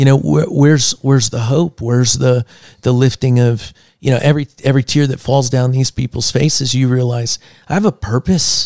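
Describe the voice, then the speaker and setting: A man with an American accent speaks at a medium pitch with ordinary pitch variation. His tone is dark and mellow, and the sound is dry and close with no echo. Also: moderate pace. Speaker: podcast co-host. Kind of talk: casual chat. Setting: studio. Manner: animated.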